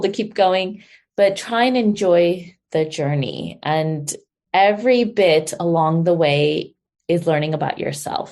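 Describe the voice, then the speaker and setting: A woman with an American accent speaks in a plain, everyday voice. Her medium pitch shows ordinary variation. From US, California, San Diego. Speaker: holistic health guest. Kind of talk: interview.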